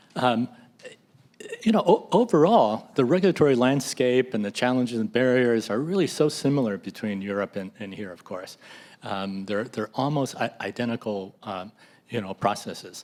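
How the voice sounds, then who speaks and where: In a plain, everyday voice, a man with an American accent speaks at a moderate pace and medium pitch, his intonation lively and his loudness swinging widely. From US. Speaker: drug repurposing nonprofit leader. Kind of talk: panel discussion. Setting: hybrid public meeting.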